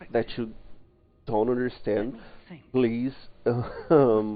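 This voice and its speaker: Medium in pitch, a man's voice comes with a non-native accent. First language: not English. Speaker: streamer. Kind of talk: live gameplay commentary. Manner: halting.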